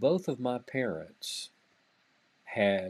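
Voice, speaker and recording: The speaker has a Southern US accent. The recording is very clean, with a silent background. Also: man. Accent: Southern US (Georgia). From US South, Georgia (Greensboro). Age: 50s. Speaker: music magazine executive. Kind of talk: interview.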